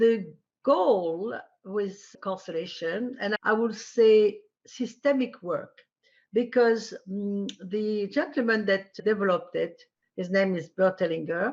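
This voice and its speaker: A woman at medium pitch, speaking very slowly with ordinary pitch variation. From France. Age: 80s+. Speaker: family constellations practitioner. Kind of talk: interview.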